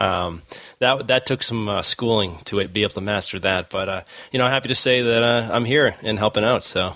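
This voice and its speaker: This man has a bright, sharp tone and a medium pitch with ordinary variation, moving at a fairly quick pace. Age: 30s. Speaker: podcast co-host. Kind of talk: casual chat.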